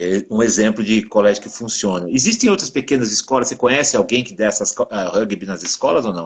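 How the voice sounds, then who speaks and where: Speaking at a very fast pace, this man has a medium pitch and ordinary pitch variation. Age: 60s. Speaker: podcast host, former rugby player. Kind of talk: casual interview chat.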